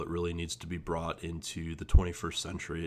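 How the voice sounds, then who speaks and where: The recording is very clean with a silent background, and the delivery comes at a moderate pace. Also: man. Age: 20s. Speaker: agency owner. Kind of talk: monologue. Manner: halting, many fillers and repetitions.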